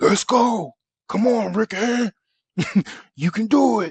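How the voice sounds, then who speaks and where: Putting on a character voice, a man speaks raspily at a high pitch and a fairly slow pace. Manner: encouraging, loud.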